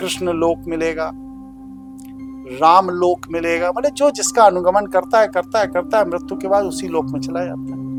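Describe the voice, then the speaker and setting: Over music in the background, a man speaks at a high pitch with very wide swings in his pitch. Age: 60s. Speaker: spiritual teacher. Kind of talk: interview.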